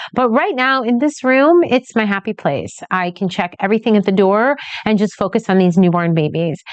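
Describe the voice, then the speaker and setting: Ordinary pitch variation in a woman's voice. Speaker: newborn photographer. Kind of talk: tutorial. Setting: photography studio. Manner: fast.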